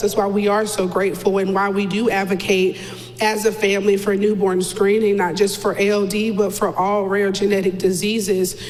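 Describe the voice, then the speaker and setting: Speaking with an American accent at a moderate pace and medium pitch, a woman is heard amid noticeable background noise and audible room echo. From North Carolina. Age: 30s. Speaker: mother of a child with a rare disease. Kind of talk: interview. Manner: loud.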